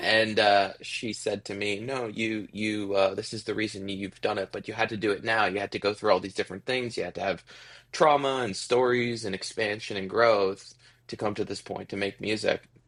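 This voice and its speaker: In a normal speaking voice, a man with a Canadian accent talks at a moderate pace with a fairly low pitch and fairly even intonation. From Ontario, Canada. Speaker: musician. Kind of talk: interview.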